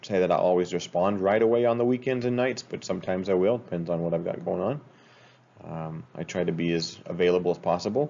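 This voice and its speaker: A man with an American accent, a fairly low pitch and a fairly quick pace. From Utah. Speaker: school teacher. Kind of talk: class introduction video. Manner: casual, hesitant with many fillers. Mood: relaxed, friendly. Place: home room. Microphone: webcam.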